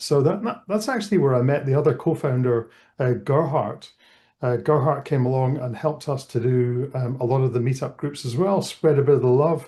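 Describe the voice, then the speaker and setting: A man speaks in a Scottish accent at a moderate pace. His somewhat breathy voice has a fairly high pitch, a dark, mellow tone and ordinary pitch variation. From Scotland. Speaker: tech event co-founder. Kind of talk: interview. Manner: casual, many fillers.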